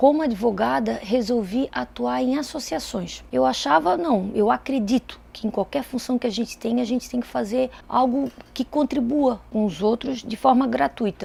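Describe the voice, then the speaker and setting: A woman with a fairly high pitch, a dark, mellow tone and vocal fry speaks at a moderate pace with lively intonation and hardly any pauses. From Brazil, Itajaí, Santa Catarina. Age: 30s. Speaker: lawyer and politician. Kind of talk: interview testimony.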